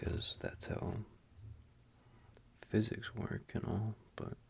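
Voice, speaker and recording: The speaker is whispering. The pace is very slow. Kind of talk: casual talk to camera while doing a puzzle. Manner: soft-spoken, ASMR-style.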